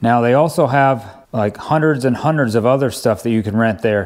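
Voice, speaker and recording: Against a quiet background, a man is speaking. His pace is moderate and his pitch variation ordinary. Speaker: DIY video host. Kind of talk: tutorial. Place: home room.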